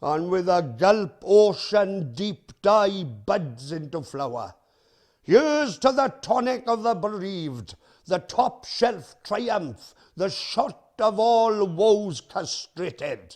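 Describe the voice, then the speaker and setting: A man speaks at a very slow pace with a Welsh accent, his voice pitched high. His pitch swings very widely against a quiet background. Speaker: performance poet. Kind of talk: poetry reading.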